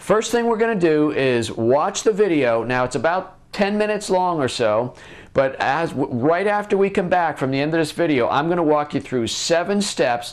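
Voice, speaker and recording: A man's lively intonation at a moderate pace, hardly any pauses, quiet background. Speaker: web show host. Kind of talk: business tutorial vlog. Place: office. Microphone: lapel.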